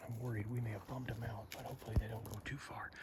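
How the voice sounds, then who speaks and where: A man is whispering. His words come out in a whisper. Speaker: hunter and outdoor vlogger. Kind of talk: outdoor vlog narration. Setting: outdoors in the backcountry.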